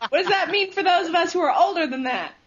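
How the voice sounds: A woman's fast speech, extremely high in pitch, fairly bright in tone, with ordinary pitch variation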